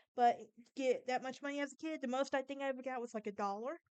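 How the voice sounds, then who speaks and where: In a Southern US accent, a woman speaks with a high pitch. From Alabama, US South. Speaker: podcast host. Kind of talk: casual monologue; informal storytelling on history and folklore. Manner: halting, with false starts.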